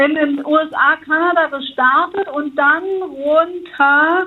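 Very slowly and with fairly even intonation, a woman speaks in a high pitch. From Germany, West Berlin. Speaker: hostel owner. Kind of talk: casual chat.

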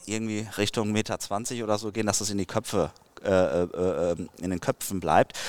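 This man has an unremarkable speaking voice, with fairly low pitch and fairly even intonation. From Dortmund, Ruhr area, Germany. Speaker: fishing YouTuber. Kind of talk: casual interview.

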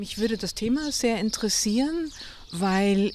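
This woman talks at a very slow pace. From Munich, Bavaria. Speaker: novelist. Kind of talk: interview conversation. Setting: outdoors by a lake at a grave.

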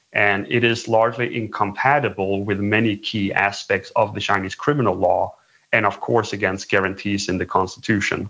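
Bright and sharp in tone, a man speaks at a fairly low pitch. His pace is moderate and his intonation fairly even. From Sweden. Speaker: human rights activist. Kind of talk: interview.

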